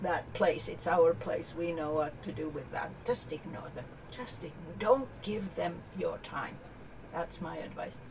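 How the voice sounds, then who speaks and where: Fairly low-pitched, a woman speaks slowly with lively intonation and big swings in loudness. Audible room echo and noticeable background noise are present. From Canada. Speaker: keynote speaker and business advisor. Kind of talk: podcast interview.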